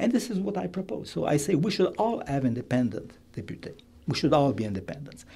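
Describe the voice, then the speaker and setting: A man with vocal fry and a dark, mellow tone, fairly high in pitch, with very wide pitch swings at a very fast pace. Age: 70s. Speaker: political candidate, retired lawyer. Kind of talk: radio interview. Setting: studio.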